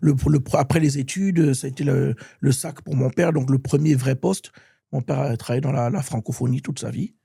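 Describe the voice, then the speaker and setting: With a dark, mellow tone and vocal fry, a man talks at a fairly quick pace, his medium pitch showing ordinary variation. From France, with childhood years in Gabon (Libreville) and Bordeaux. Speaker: musician and author. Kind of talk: interview. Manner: halting, with many repetitions.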